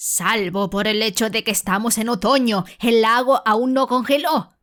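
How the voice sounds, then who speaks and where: Over a silent background in a very clean recording, a woman uses a gruff, put-on character voice at a fairly high pitch and a moderate pace. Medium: read story. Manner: gruff, irritable.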